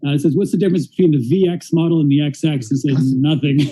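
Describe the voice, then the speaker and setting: With a Canadian accent, a man speaks at a very fast pace in a somewhat breathy, dark, mellow voice of fairly high pitch and ordinary pitch variation. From Canada. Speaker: interviewer and interpreter. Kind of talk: live-streamed interview with interpreting. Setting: live stream in a store. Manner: casual, animated.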